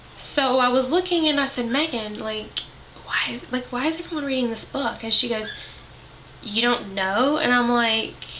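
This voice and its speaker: Over noticeable background noise and audible room echo, a woman with a high pitch speaks at a moderate pace in a Southern US accent, her pitch varying in an ordinary way. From US South. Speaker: vlogger. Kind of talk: casual vlog monologue. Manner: rambling, filler-heavy.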